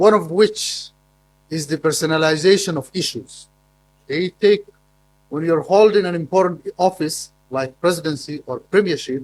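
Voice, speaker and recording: A high-pitched man with a Somali accent, ordinary pitch variation and a moderate pace. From Somaliland, northern Somalia. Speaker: academic conference speaker. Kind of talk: conference presentation. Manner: halting, with repetitions.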